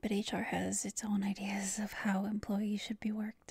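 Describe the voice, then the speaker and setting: At a fairly slow pace, the speech comes through with a dry sound, no echo and a quiet background. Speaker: voice actor playing girlfriend. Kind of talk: scripted roleplay monologue. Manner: drowsy, sleep-deprived late-night talk.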